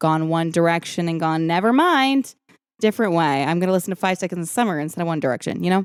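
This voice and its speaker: A woman with a Southern California accent talks at a fairly quick pace in an animated tone, her pitch fairly low. The recording is very clean with a silent background, and the sound is dry and close with no echo. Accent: valley girl sound. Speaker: podcast host. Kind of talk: casual chat.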